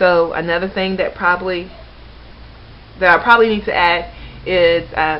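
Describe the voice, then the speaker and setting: Over noticeable background noise, a woman speaks at a fairly low pitch in a monotone, flat delivery with long, frequent pauses. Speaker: vlogger. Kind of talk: casual vlog monologue. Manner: fast; off the cuff.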